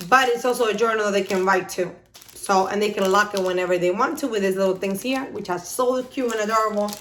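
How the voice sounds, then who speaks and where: With noticeable background noise and audible room echo, a woman with a non-native accent talks very fast at medium pitch in an animated tone. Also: ordinary pitch variation. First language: not English. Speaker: YouTuber, mother. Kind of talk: haul video, casual chat. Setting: home office.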